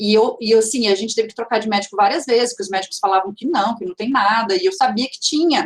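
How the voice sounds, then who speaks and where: Talking very fast, a woman uses a fairly high pitch and lively intonation. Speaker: teacher and speaker. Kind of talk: lecture. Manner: halting, many fillers and restarts.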